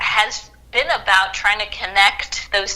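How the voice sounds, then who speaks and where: Noticeable background noise runs under the voice. The speaker has a slight Southern US accent. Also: woman. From US South, Macon, Georgia. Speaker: historian. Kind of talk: interview.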